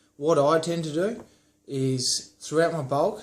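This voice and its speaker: A man speaks over noticeable background noise. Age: 20s. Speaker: fitness vlogger. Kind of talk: tutorial. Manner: casual.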